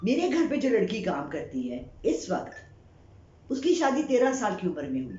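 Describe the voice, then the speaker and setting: This woman's voice carries audible room echo. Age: 60s. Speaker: psychic reader and YouTuber. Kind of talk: opinion monologue.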